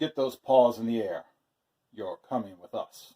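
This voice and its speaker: A man uses a put-on character voice at medium pitch. His pace is moderate. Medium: read story.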